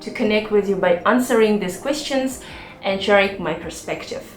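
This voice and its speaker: A woman's fairly high voice with ordinary pitch variation, amid noticeable background noise and audible room echo. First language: not English. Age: 40s. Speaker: YouTuber and cloud engineer. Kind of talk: personal vlog talk.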